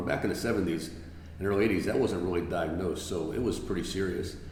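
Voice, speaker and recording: A very deep, low-pitched man with an American accent at a very fast pace, amid noticeable background noise and audible room echo. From New York (Bronx), then South Florida from age 13. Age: 60s. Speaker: athletic director and football coach, former police officer. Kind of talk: podcast interview.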